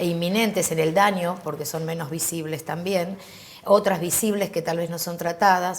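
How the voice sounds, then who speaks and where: With an unremarkable speaking voice, a woman speaks at a fairly low pitch and a moderate pace, her intonation fairly even. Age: 50s. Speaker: HIV activist. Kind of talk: interview.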